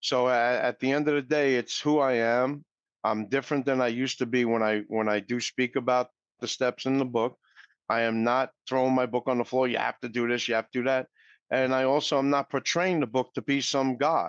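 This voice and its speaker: This man talks at a fairly quick pace in a New York accent, his loudness very even and his intonation fairly even. The sound is dry and close with no echo, over a quiet background. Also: medium pitch for a man. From New York City. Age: 60s. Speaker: recovery speaker, mortgage professional. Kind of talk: interview.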